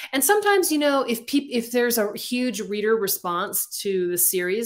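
Speaking at a moderate pace, a woman shows ordinary pitch variation. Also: quiet background. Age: 50s. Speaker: romance novelist; interview guest. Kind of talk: interview. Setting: video call. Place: home room. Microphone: webcam.

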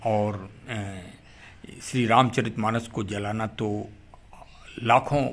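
The man's voice sits at a medium pitch. He speaks in a flat monotone. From Bundelkhand, Uttar Pradesh (Orai). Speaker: YouTuber, police perspective commentator. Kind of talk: monologue talk / commentary. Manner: formal.

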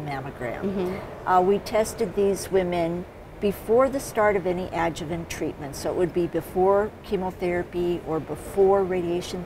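A woman speaks in a fairly low voice at a moderate pace. Her pitch varies in an ordinary way, with noticeable background noise behind her. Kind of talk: interview answer. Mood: calm, explanatory.

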